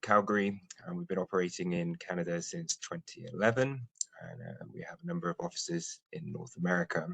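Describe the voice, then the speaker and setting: In a British accent, a man talks fairly quickly at a fairly low pitch. His voice makes very wide pitch swings and big swings in loudness. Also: dry, close sound with no echo. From UK. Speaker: nuclear safety expert. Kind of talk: webinar presentation. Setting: online webinar.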